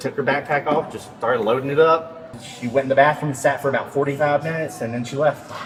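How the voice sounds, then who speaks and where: A man with a fairly high voice and fairly even intonation talks amid noticeable background noise. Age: 30s. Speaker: store loss prevention officer. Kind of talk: casual chat.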